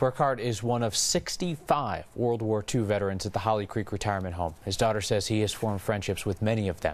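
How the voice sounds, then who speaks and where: A man with an unremarkable speaking voice talks at a fairly quick pace with hardly any pauses, his fairly low pitch showing ordinary variation. The recording is very clean, with a silent background. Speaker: TV news anchor. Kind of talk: TV news anchor read.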